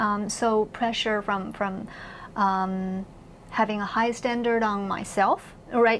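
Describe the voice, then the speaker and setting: In a Chinese accent, a woman talks with fairly even intonation at a fairly high pitch. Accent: Mandarin Chinese accent in English. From mainland China. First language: Mandarin Chinese. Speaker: university professor. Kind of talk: interview conversation. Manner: hesitant, many fillers and repeats.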